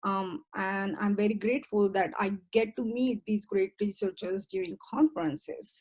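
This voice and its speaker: A woman with a medium-pitched, somewhat breathy voice speaks at a moderate pace with ordinary pitch variation and hardly any pauses. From India. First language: Indian language. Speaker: professor. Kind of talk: presentation talk. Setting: video call.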